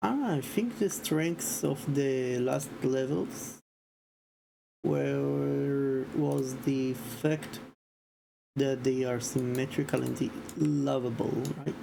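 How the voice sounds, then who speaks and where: Quiet speech unfolds at a very slow pace. Long, frequent pauses break it up. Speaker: streamer and indie game developer. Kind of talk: casual livestream commentary.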